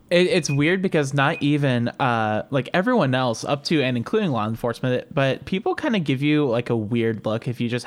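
In a Northern Ohio accent, a man talks at a moderate pace with medium pitch and lively intonation. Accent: Northern Ohio American. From Cleveland, Ohio. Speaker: podcast co-host. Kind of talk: casual chat.

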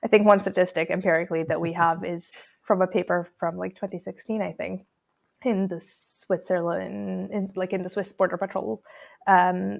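A woman talks at a fairly quick pace with a fairly low pitch and vocal fry. The sound is dry and close with no echo, in a very clean recording with a silent background. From Croatia. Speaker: people analytics researcher. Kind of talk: podcast interview. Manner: hesitant with frequent ums.

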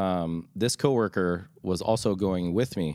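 An unremarkable speaking voice from a man, fairly low in pitch with ordinary pitch variation, at a fairly slow pace. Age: 40s. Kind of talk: casual chat.

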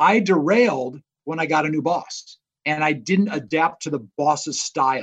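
In an American accent, a man with an ordinary speaking voice and fairly high pitch talks fairly slowly with ordinary pitch variation. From Indiana, US Midwest. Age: 50s. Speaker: business professor and author. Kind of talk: interview. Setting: remote call.

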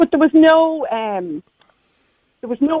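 Here a woman speaks with a dark, mellow tone. The sound is dry and close, with no echo. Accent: Irish. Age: 60s. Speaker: caller. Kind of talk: casual chat. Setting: phone call.

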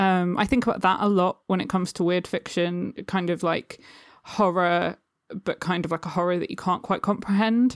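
On a very clean recording with a silent background and a dry, close sound with no echo, a woman with a southern English accent talks at a medium pitch with fairly even intonation. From England, Suffolk. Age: 20s. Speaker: poet and publisher. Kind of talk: casual chat.

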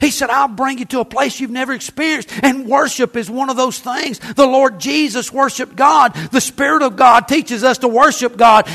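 Someone speaks with an American accent at a moderate pace. Noticeable background noise is present. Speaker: pastor. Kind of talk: sermon. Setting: church. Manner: animated, folksy, exhorting the congregation with humor.

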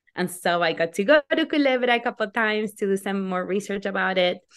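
In a quiet background, a woman with a Spanish accent talks with ordinary pitch variation. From Argentina. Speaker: novelist. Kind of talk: interview.

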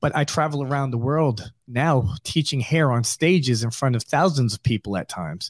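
A plain, everyday voice from a man with an American accent, medium pitch, ordinary pitch variation, moderate pace and hardly any pauses, dry and close with no echo on a very clean recording with a silent background. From New York. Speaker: barbershop owner. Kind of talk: interview.

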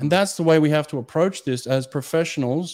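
A man speaks with a fairly high pitch and a dark, mellow tone. The recording is very clean, with a silent background. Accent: Australian. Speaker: swimming coach, former Olympic sprinter and podcast host. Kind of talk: casual interview chat.

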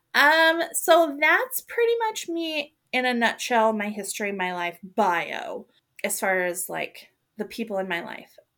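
Bright and sharp in tone, a woman talks at a fairly slow pace in a fairly high pitch, with very wide pitch swings. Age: 40s. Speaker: podcast host. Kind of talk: casual chat.

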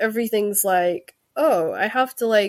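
A woman speaks at a medium pitch with ordinary pitch variation, in a Scottish accent. The recording is very clean, with a silent background. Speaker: author. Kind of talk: casual chat. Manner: halting.

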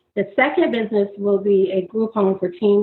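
Talking at a moderate pace with fairly even intonation, a woman in an American accent has an unremarkable speaking voice. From Florida. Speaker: graduate student and entrepreneur. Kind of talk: interview.

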